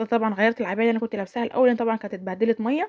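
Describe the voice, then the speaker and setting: A woman speaks with a fairly high pitch. The sound is dry and close, with no echo. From Egypt, Sharqia governorate. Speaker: home vlogger, mother. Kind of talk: voiceover narration of a daily-routine vlog. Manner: casual, chatty, with frequent self-corrections.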